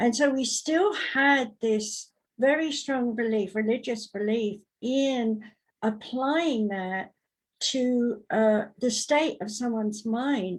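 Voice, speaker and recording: The speaker has a British accent and talks at a very slow pace. Pitch variation is ordinary. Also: woman, fairly high pitch for a woman. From Britain. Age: 70s. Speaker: psychic medium and talk show host. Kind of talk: talk show discussion. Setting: live online broadcast.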